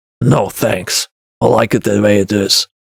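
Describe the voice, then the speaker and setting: A man puts on a raspy character voice, fairly low in pitch. The sound is dry and close, with no echo. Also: moderate pace. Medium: read story. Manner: terse, guarded.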